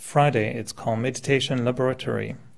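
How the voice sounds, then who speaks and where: A man speaks at a moderate pace in a medium pitch with vocal fry, a slight French accent and fairly even intonation. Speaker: meditation teacher. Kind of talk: talk to audience. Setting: meditation center with audience.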